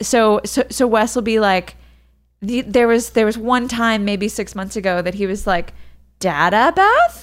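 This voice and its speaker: A woman with a plain, everyday voice speaks at a moderate pace, her pitch fairly high. The recording is very clean, with a silent background. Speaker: podcast co-host, expectant mother. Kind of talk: casual chat.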